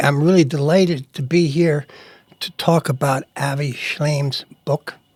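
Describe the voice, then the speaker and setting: A plain, everyday voice with fairly even intonation comes through a dry, close sound with no echo. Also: man. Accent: American. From US Northeast, New York suburbs. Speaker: publisher and editor. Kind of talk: interview.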